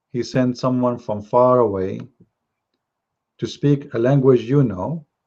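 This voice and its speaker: With a non-native accent, the speaker uses a dark, mellow tone and ordinary pitch variation at a fairly slow pace. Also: man, medium pitch for a man. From Middle East. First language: Arabic. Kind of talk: live religious talk show. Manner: halting.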